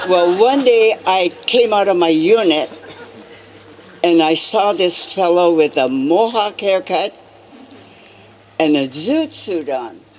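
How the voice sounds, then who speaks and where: A woman's medium-pitched voice with an American accent, lively intonation and a fairly slow pace, over crowd noise in the background. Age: 80s+. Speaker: incarceration camp survivor. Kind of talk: commemoration speech.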